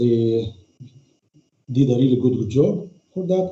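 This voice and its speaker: Somewhat breathy, a man speaks at a fairly slow pace with ordinary pitch variation. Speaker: conference moderator. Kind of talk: formal closing remarks. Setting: online video conference. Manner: halting, many fillers.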